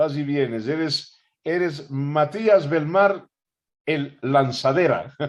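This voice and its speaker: Very slowly, a man speaks at a fairly high pitch. His pitch variation is ordinary. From Ecuador. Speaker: interviewer host. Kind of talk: interview conversation.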